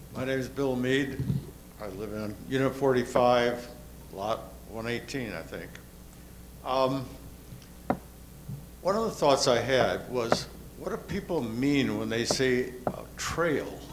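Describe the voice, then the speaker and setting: The speech moves at a very slow pace with long, frequent pauses and ordinary pitch variation, over noticeable background noise and audible room echo. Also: man, medium pitch for a man. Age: 80s+. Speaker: resident speaking at community meeting. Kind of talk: public comment at meeting.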